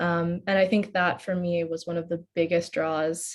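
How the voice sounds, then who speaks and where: A woman's somewhat breathy, medium-pitched voice at a fairly slow pace. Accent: American. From United States. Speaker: postgraduate student. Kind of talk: personal testimony in a webinar.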